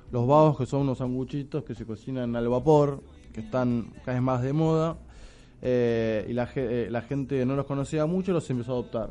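Speaking at a moderate pace, a man uses fairly even intonation and has a dark, mellow tone. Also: medium pitch for a man. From Argentina, Buenos Aires. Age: 30s. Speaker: restaurant owner. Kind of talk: radio interview. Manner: halting, many fillers.

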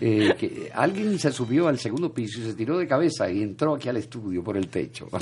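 Over noticeable background noise, a man talks at a fairly quick pace with hardly any pauses. His medium-pitched voice makes very wide pitch swings. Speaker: radio host. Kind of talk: casual chat and news commentary.

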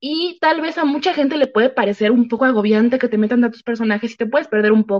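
At a fairly quick pace, a woman talks in a high pitch with lively intonation. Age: 20s. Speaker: book YouTuber. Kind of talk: interview about books.

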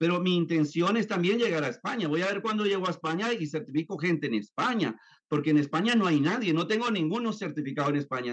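This man talks at a fairly quick pace, his high pitch moving with lively intonation. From Colombia, then raised in the US. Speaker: neuroscience therapist and author. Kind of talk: interview. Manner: hesitant with fillers and repetitions.

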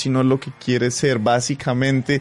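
A man's voice, fairly high in pitch. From Colombia, Pasto. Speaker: radio host. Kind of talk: casual chat.

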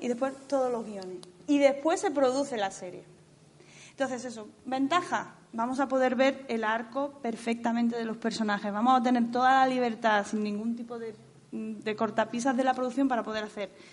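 Against a quiet background, a woman speaks at a high pitch and a fairly quick pace, her loudness swinging widely. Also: ordinary pitch variation. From Spain, Andalusia (Jaén province). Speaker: screenwriter. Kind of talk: festival talk with audience Q&A.

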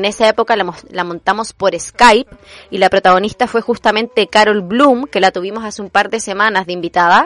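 In a dry, close recording with no echo, a woman speaks at medium pitch with fairly even intonation in a plain, everyday voice. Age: 30s. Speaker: radio host, theatre teacher. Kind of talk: personal storytelling monologue.

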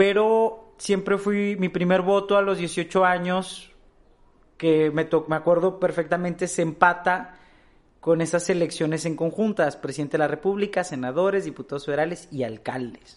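He speaks at a moderate pace in a high voice with ordinary pitch variation. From Mexico, Torreón (Coahuila). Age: 20s. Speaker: young politician and activist. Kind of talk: interview.

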